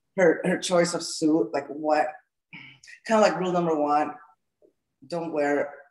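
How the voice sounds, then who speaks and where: A woman with a Salvadoran accent. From El Salvador. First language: Spanish. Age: 40s. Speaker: gym owner and fitness coach. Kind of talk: interview.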